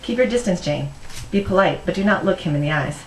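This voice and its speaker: Over noticeable background noise, a woman with a fairly low pitch speaks at a very fast pace with lively intonation. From Philippines. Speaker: novelist. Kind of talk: reading from her own novel.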